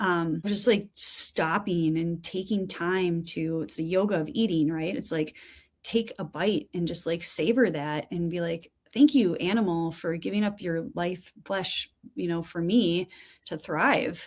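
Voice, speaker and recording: The speaker has a plain, everyday voice and an American accent, with ordinary pitch variation. The pace is fairly slow on a very clean recording with a silent background. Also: woman, fairly low pitch for a woman. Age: 50s. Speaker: wellness company co-founder. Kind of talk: casual interview chat.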